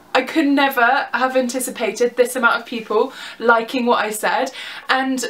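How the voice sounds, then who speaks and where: With noticeable background noise behind her, a woman talks in a high pitch with a southern English accent. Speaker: vlogger. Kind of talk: casual vlog. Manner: animated.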